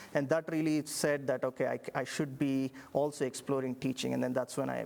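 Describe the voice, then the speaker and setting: Speaking in a monotone with flat intonation, a man with an Indian accent talks at a fairly quick pace and a fairly high pitch, with hardly any pauses. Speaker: engineering professor. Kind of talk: interview. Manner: halting.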